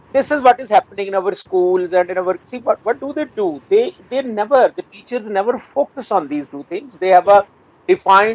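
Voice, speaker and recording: Someone talks at a fairly quick pace with a Punjabi accent. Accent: Indian Punjabi English. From rural Punjab, India. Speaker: retired English professor. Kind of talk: interview. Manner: hesitant, many fillers.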